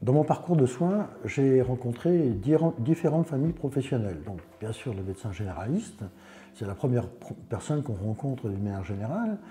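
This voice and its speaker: A man speaks at a medium pitch and a fairly quick pace, his pitch swinging very widely. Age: 60s. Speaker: patient. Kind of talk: testimony. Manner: halting.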